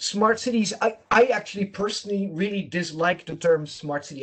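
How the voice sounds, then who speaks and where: Moderate in pace, this man talks. His intonation is lively. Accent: Dutch. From Netherlands. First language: Dutch. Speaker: smart city consultant. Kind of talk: lecture. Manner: halting.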